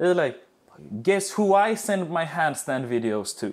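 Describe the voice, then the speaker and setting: With an animated tone and lively intonation, a man talks at a fairly slow pace. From Sweden. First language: Swedish. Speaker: fitness and dance coach. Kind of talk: webinar talk.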